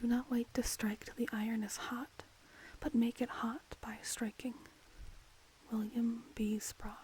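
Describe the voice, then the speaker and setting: Soft-spoken and at a fairly slow pace, a woman talks in a fairly high pitch with a dark, mellow tone, monotone, flat intonation and long, frequent pauses. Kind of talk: ASMR quote reading.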